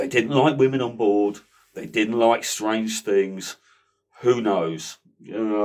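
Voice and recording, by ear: With ordinary pitch variation and a quiet background, the speaker is reading aloud in a natural voice.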